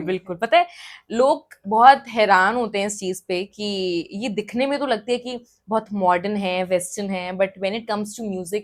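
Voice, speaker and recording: Her tone upbeat, a woman speaks at a medium pitch with ordinary pitch variation. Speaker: radio jockey and singer. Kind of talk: interview answer.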